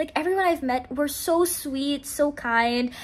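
This is a woman's voice. She speaks at a moderate pace. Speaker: college student vlogger. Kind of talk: casual vlog chat. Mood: happy, grateful, warm. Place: home room. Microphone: phone near.

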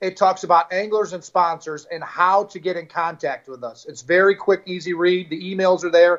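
With an American accent and a high pitch, a man talks at a moderate pace with hardly any pauses, fairly even intonation and big swings in loudness, against a quiet background. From US Midwest, St. Louis area; US Midwest. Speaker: fishing league owner; guest. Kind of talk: interview. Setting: live stream. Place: home room. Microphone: video call.

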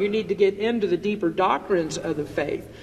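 At a moderate pace, a man talks in a high voice with ordinary pitch variation. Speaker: pastor. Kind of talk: sermon. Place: church. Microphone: headset.

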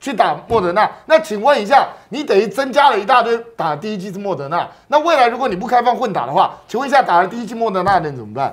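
Talking very fast, a man swings widely in pitch and shifts greatly in loudness. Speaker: political commentator. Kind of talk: political talk show. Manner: emphatic. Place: studio. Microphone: lapel.

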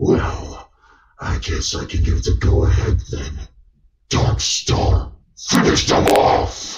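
Putting on a character voice, a man talks at a very slow pace with a very deep, low pitch. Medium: voice reel. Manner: contemptuous, threatening.

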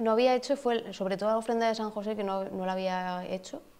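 A woman speaks in a fairly high voice with a dark, mellow tone. Her pace is moderate and her intonation fairly even. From Spain. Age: 20s. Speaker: festival queen; interviewee. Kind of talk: interview. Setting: falla clubhouse. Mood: relaxed, informal. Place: hall.

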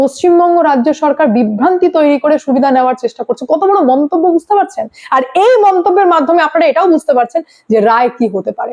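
Fast and lively, a woman speaks in a high pitch with a slightly mellow tone. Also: few pauses.

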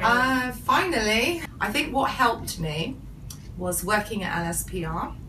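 A woman's very wide pitch swings at a fairly slow pace, with audible room echo and light background noise. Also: fairly high pitch for a woman. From England, UK. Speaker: English lecturer. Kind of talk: interview answer. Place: office. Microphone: camera far.

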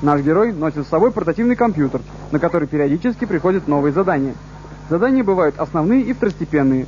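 Against noticeable background noise, a high-pitched man speaks at a very fast pace with lively intonation. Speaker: TV presenter narrating a video game review. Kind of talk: TV show voice-over game review.

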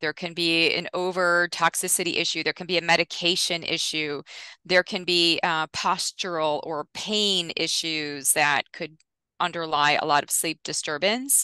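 A woman's fairly low-pitched voice, bright and sharp in tone, with fairly even intonation at a moderate pace, dry with no echo and a quiet background. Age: 50s. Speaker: nutrition scientist; guest. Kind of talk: interview. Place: home room. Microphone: headset.

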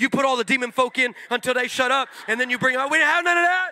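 With an American accent, a man speaks in a raised, projected voice at an extremely high pitch and a very fast pace, animated and playful in tone, with ordinary pitch variation. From California. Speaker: pastor. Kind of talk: sermon; comedic storytelling sermon, crowd call-and-response. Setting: stage with audience. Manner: animated, playful, loud preacher working the crowd; loud, high-energy. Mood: humorous. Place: church. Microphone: handheld.

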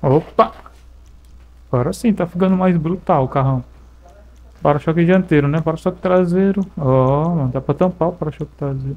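This man's voice sits fairly high. He speaks fairly quickly. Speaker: gaming YouTuber. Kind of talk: gameplay commentary. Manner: animated.

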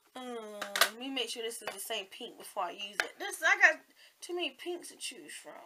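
Over noticeable background noise, a woman with a Southern US accent talks at a fairly quick pace in a high pitch, with very wide pitch swings and big swings in loudness. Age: 40s. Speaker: beauty vlogger. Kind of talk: casual makeup tutorial vlog. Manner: rambling, chatty.

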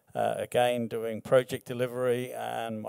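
A man speaking, quiet background behind him. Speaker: mining project executive; presenter. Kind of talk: presentation. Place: hall. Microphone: podium.

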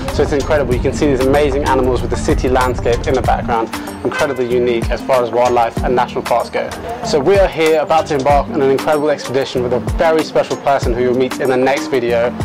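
A man talks at a very fast pace as clear music plays in the background. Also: ordinary pitch variation. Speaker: travel vlogger. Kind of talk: casual vlog chat. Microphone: lapel.

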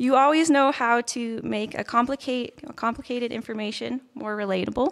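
Against a quiet background, a woman with a high pitch speaks with big swings in loudness. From Red Deer, Alberta; Alberta, Canada. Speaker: nursing graduate. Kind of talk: valedictory speech. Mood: grateful, warm. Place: stage. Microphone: podium.

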